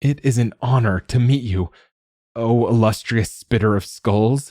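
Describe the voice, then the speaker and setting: A man puts on a character voice at medium pitch. He keeps a moderate pace. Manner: calm, respectful, flattering.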